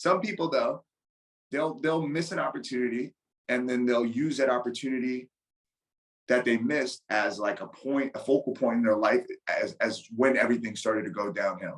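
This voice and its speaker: A man talks at a moderate pace with a medium pitch and ordinary pitch variation. It is a normal speaking voice. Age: 30s. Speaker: Muay Thai and MMA striking coach. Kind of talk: casual chat.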